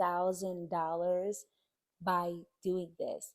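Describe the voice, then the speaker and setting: A woman speaks at a medium pitch with a strong New Jersey accent. Her tone is upbeat as well as dark and mellow. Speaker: YouTuber on side hustles. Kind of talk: online tutorial. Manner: casual, upbeat.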